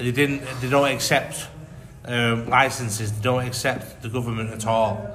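A man with a strong Mancunian accent, medium pitch and monotone, flat intonation at a moderate pace, over noticeable background noise. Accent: thick Mancunian English. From Manchester. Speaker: tourist. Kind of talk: casual chat.

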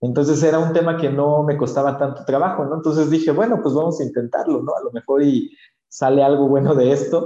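With audible room echo, a man speaks fairly quickly in a fairly high voice that has a dark, mellow tone and fairly even intonation. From Oaxaca, Mexico. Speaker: social entrepreneur. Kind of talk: casual interview.

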